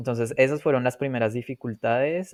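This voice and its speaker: At a moderate pace, a man talks in a medium pitch, an ordinary speaking voice, with a dry, close sound and no echo. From Colombia. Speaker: polyglot, language learner. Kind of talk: podcast interview.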